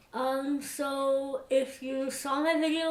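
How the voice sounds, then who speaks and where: Audible room echo around a woman speaking very slowly. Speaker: vlogger. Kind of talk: personal vlog update. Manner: hesitant, many fillers.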